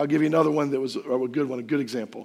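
A man's fairly high-pitched voice carries vocal fry. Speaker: pastor. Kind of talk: sermon.

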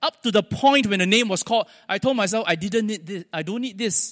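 A man's high-pitched voice in a Singaporean accent, with lively intonation and a moderate pace. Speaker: preacher. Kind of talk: sermon. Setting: church.

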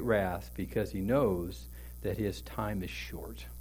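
Audible room echo hangs around a man's voice. He talks at a fairly slow pace. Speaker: pastor. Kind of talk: sermon.

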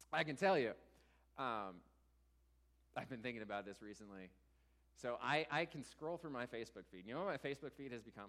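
Speaking at a fairly quick pace, a man makes big swings in loudness and takes long, frequent pauses. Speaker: church teacher. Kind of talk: sermon. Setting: church.

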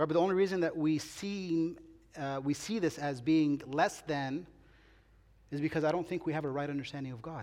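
A man talks at a fairly quick pace with a fairly high pitch and ordinary pitch variation. His is an ordinary speaking voice. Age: 40s. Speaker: pastor. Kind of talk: sermon. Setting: church.

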